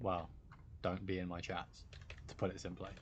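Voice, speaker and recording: A man's very deep, low voice with a British accent and monotone, flat intonation. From Britain. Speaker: gaming streamer. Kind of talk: live stream chat.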